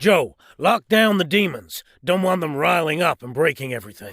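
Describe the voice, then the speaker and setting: A raspy, put-on character voice in a calm tone at a moderate pace. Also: man, high pitch for a man. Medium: audio drama. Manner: calm, authoritative.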